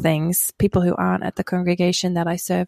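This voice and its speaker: A woman with an Australian accent speaks at a very fast pace and fairly low pitch. The recording is very clean with a silent background, and the sound is dry and close with no echo. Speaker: pastor and author. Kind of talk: interview.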